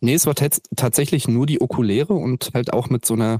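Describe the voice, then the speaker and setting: Using a normal speaking voice, a man talks at a moderate pace with ordinary pitch variation. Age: 20s. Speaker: activist with a chronic illness. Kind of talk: interview. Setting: video call.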